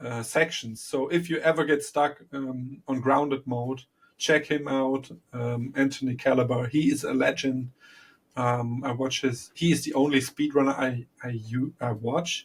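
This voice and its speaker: A man's somewhat breathy voice at a medium pitch, fairly even in intonation, at a fairly slow pace. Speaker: podcast co-host. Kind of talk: casual chat. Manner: calm.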